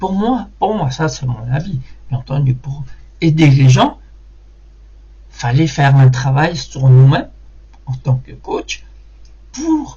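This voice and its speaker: Here a man is speaking. He goes at a very slow pace. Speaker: hypnotic conversation coach. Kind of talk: motivational talk to camera. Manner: halting, many hesitations and repetitions.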